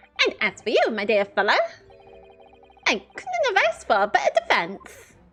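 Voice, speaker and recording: A put-on character voice, squeaky and fairly high in pitch, delivers its lines in a theatrical tone at a moderate pace over music in the background. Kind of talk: formal, courtly. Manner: theatrical, evil.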